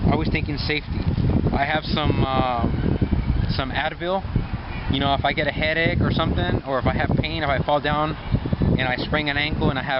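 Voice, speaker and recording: A man with fairly even intonation amid noticeable background noise. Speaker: fitness vlogger. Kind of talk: casual tutorial vlog. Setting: outdoors in a park. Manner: fast; casual, hesitant with fillers.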